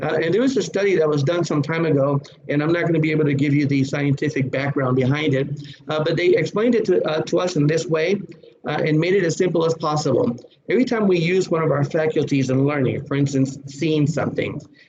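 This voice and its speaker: A man at a very fast pace and fairly high pitch, very even loudness, ordinary pitch variation, over noticeable background noise. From Puerto Rico. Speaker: safety trainer. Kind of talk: lecture.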